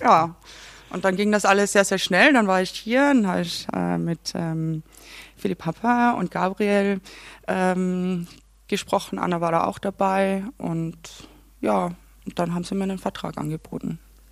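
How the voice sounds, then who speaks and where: On a very clean recording with a silent background, a woman speaks at a medium pitch with ordinary variation. Her pace is fairly slow, with long, frequent pauses. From Austria, Carinthia (Klagenfurt). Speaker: assistant theatre director. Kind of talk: casual chat. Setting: theatre canteen.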